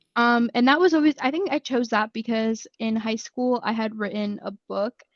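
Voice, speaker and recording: A woman with an unremarkable speaking voice talks at a moderate pace and a fairly high pitch, with ordinary pitch variation, in a dry, close sound with no echo. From New Jersey, US, Mexican-American family. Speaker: college student. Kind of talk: podcast interview. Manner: casual, many fillers.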